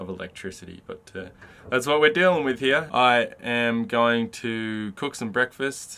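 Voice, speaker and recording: This man talks at a fairly slow pace in a bright, sharp tone with ordinary pitch variation. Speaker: van traveller vlogger. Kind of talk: casual vlog chat. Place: car. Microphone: phone near.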